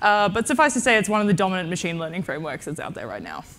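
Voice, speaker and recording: Talking at a very fast pace, a woman with medium pitch speaks in an Australian accent. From Tasmania, Australia. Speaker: AI and data science researcher, conference speaker. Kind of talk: conference talk.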